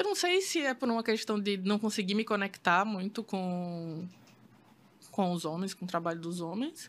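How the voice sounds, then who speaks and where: Using an ordinary speaking voice, a woman talks with ordinary pitch variation. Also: medium pitch for a woman, moderate pace. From Brazil, Maceió, Alagoas. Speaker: photographer. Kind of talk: casual interview chat.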